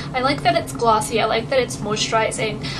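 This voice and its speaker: Against noticeable background noise, a woman speaks fairly quickly at a fairly high pitch, with very wide pitch swings. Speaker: beauty vlogger. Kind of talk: casual talk to camera.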